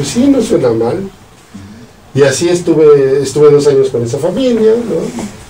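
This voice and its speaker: A man with a central Mexican accent speaks at a fairly slow pace and a fairly high pitch, with very wide pitch swings. Audible room echo and noticeable background noise surround his voice. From central Mexico, Salamanca, Guanajuato. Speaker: physicist and professor. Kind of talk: casual interview, life story.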